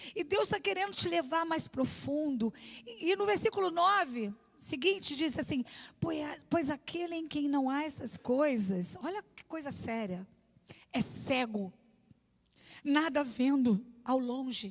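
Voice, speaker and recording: Pausing long and often, a woman talks at a fairly slow pace in a high pitch with very wide swings. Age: 60s. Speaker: pastor. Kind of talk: sermon. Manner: conversational.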